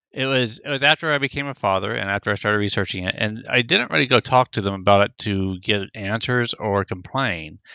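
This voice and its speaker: The speaker has an American accent and a bright, sharp tone with ordinary pitch variation. The sound is dry and close with no echo, over a quiet background. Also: man. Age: 50s. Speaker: circumcision opponent, activist. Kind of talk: interview.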